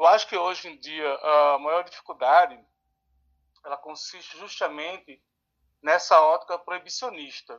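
A man's high-pitched voice at a fairly slow pace, with ordinary pitch variation, big swings in loudness and long, frequent pauses. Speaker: social educator and harm reduction researcher. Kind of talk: interview.

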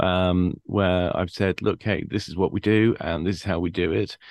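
The background is quiet. A man speaks with vocal fry. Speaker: podcast host. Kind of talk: casual interview chat. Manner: hesitant, many filler words.

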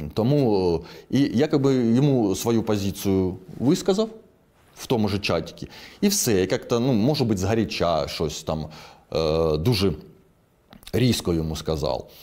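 A man with a Russian accent speaks at a fairly slow pace, with long, frequent pauses and lively intonation. His fairly low, dark, mellow voice comes through on a very clean recording with a silent background. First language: Russian (speaking Ukrainian). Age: 40s. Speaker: soldier and moto blogger. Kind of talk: interview.

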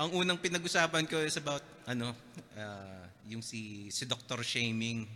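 A man speaks in an unremarkable speaking voice at a medium pitch. His pace is fairly slow and his intonation lively. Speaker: podcast host. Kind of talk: casual chat. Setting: studio.

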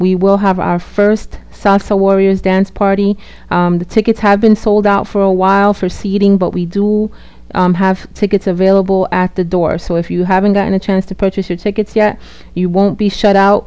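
A woman speaks fairly slowly in a flat monotone. Her tone is dark and mellow. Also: medium pitch for a woman. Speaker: radio host. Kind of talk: radio DJ patter. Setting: radio show broadcast. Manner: warm, welcoming, bilingual English-Spanish.

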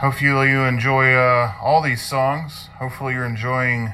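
A man with a medium pitch talks at a moderate pace while noticeable background noise carries on. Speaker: heavy metal segment host. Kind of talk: pre-recorded radio segment. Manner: casual, friendly.

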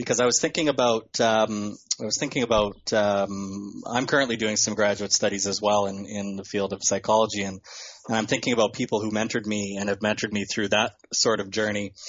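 Speaking at a fairly quick pace, a man keeps a fairly even intonation at a fairly low pitch. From Regina, Saskatchewan, Canada. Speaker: podcast co-host, graduate student. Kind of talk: interview. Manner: halting.

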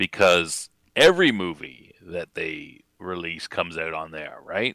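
A man with a Canadian accent, very deep and low in pitch, bright and sharp in tone, dry and close with no echo, on a very clean recording with a silent background. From Canada. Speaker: guest commentator. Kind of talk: casual chat. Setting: live video chat.

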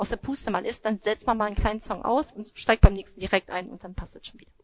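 A woman's fairly high voice at a very fast pace, with fairly even intonation. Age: 30s. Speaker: Zumba instructor. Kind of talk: casual interview.

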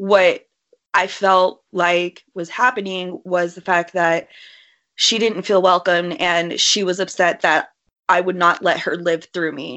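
This woman puts on a raspy character voice at a medium pitch. She talks at a fairly slow pace with monotone, flat intonation. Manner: scary tone.

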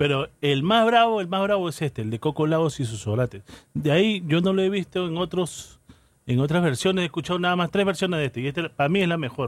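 Lively intonation at a very fast pace. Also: man, high pitch for a man. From Callao, Peru. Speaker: radio host playing salsa. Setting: radio studio broadcast. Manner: casual and conversational, with laughs, asides and unscripted pauses.

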